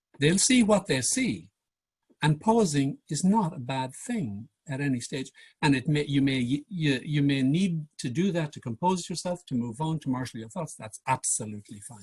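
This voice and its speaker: This man talks at a moderate pace in a fairly high, somewhat breathy voice with lively intonation. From Ireland. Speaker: public speaking coach. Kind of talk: workshop presentation. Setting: video call.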